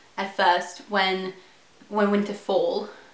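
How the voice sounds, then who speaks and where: A woman speaks at a fairly slow pace. Noticeable background noise runs beneath her. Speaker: book reviewer. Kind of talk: casual book review to camera.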